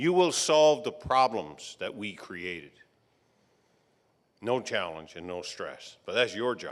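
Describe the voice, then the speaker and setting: In a very clean recording with a silent background, a man with a Newfoundland accent talks at a very slow pace, leaving long, frequent pauses as his pitch swings very widely. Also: medium pitch for a man, big swings in loudness. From Newfoundland, Fogo Island. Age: 60s. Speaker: retired electrical engineer, commencement speaker. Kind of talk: graduation address.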